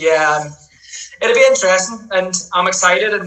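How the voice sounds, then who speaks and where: In a strong Northern Irish accent, a man speaks at a fairly quick pace with a high pitch. Audible room echo surrounds his voice. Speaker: futsal player, national team captain. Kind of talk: podcast interview.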